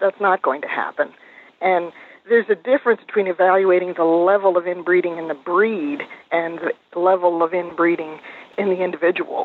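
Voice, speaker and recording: A woman with a plain, everyday voice speaks at a fairly low pitch and a fairly quick pace. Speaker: pedigree consultant. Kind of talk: interview.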